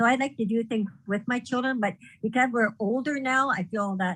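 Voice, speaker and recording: A plain, everyday voice, a woman's with a fairly high pitch, at a moderate pace and with ordinary pitch variation. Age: 60s. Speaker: blind parent, panel moderator. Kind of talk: panel discussion. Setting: video call from home.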